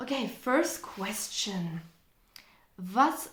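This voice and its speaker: There is audible room echo as a woman with a German accent speaks in a fairly high pitch. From Germany. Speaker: language teacher and content creator. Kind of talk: casual Q&A vlog. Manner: conversational, relaxed.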